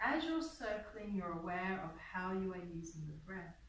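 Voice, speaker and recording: A woman's lively intonation at a fairly slow pace, with audible room echo and light background noise. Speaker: yoga teacher. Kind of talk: guided yoga class with meditation and visualization. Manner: calm, slow, soothing, instructive; gentle and unhurried, with pauses. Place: hall. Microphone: camera far.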